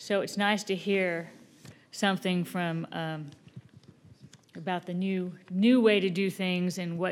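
With an unremarkable speaking voice, a woman talks at a fairly slow pace with a fairly low pitch and ordinary pitch variation. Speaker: event organizer, emcee, prayer leader. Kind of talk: emcee introductions and prayer. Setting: stage with audience.

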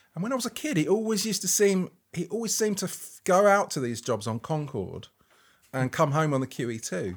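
Recorded very cleanly with a silent background, a man speaks at a fairly quick pace and a high pitch. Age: 50s. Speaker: photographer. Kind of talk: interview conversation. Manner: halting, with frequent restarts.

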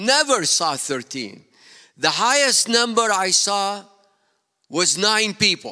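A man speaks very slowly in a high, raised, projected voice with lively intonation. Long, frequent pauses break up his speech on a very clean recording with a silent background. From Iraq. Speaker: pastor. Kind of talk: sermon. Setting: church.

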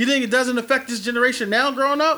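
A man's raised, projected voice, extremely high in pitch, with a bright, sharp tone. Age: 30s. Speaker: podcast host. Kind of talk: casual chat. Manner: loud; animated.

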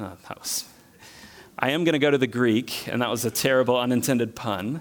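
The recording is very clean, with a silent background. Speech comes at a moderate pace. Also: man. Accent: Southern US. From US South. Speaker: preacher. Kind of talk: sermon.

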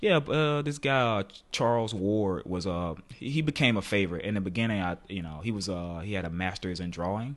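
A plain, everyday voice, a man's fairly low pitch at a fairly quick pace, with lively intonation and hardly any pauses. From US South. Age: 20s. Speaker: painter. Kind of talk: casual chat. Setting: home studio.

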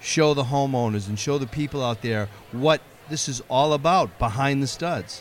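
This man has an unremarkable speaking voice with a fairly high pitch. He moves at a moderate pace with ordinary pitch variation. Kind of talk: casual interview chat.

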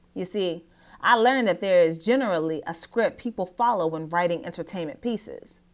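A woman speaks with an American accent in an ordinary speaking voice. Her medium pitch carries lively intonation at a moderate pace. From US, Nigerian American family. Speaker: blogger, therapist. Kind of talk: reading own blog post aloud. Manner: casual, conversational.

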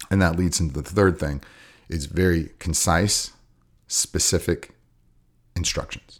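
A man with a very deep, low voice speaks at a fairly slow pace. His intonation is fairly even, broken by long, frequent pauses. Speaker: jiu-jitsu coach. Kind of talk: casual chat.

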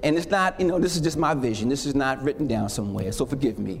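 A man's animated, warm tone with very wide pitch swings, against noticeable background noise. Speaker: preacher. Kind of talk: sermon. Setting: church with congregation. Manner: animated, call-and-response, impassioned; warm, slow, emphatic pulpit delivery.

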